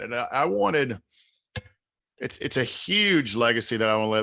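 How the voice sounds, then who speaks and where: Lively intonation marks this man's speech in a Southern US accent. His tone is bright and sharp, and his pace is moderate. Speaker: author and mindset coach. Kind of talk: podcast interview.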